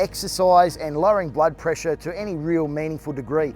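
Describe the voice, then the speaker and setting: A man with a fairly high pitch speaks at a moderate pace with ordinary pitch variation while music plays in the background. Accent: Australian. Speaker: fitness trainer. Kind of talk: health explainer.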